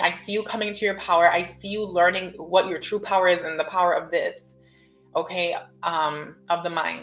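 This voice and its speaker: With music in the background, a woman at medium pitch speaks at a fairly quick pace with fairly even intonation. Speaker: tarot reader. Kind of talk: tarot reading to camera. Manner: casual, rambling with restarts.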